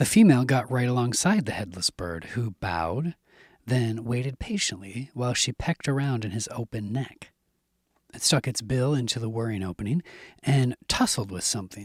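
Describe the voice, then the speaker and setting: Soft-spoken, somewhat breathy male voice of medium pitch, lively in intonation and moderate in pace, in a dry, close sound with no echo on a very clean recording with a silent background. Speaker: audiobook narrator. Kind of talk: horror audiobook reading. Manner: soft, ASMR-style, tense.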